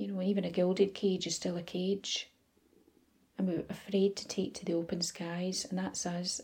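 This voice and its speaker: A woman speaks in a somewhat breathy, soothing, gentle voice with a dark, mellow tone. Her intonation stays monotone and flat. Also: medium pitch for a woman. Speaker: meditation guide. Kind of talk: guided meditation. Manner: soft, slow and soothing, gentle, dreamy.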